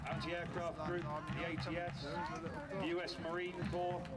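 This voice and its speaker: A man speaks over loud background noise. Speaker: event announcer. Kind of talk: commentary. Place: open country. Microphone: pa.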